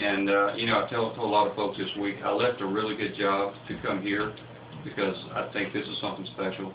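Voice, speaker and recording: Fairly low in pitch, a man talks at a fairly quick pace with fairly even intonation amid audible room echo and noticeable background noise. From US South, Lower Alabama. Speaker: pulp mill CEO. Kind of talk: radio interview.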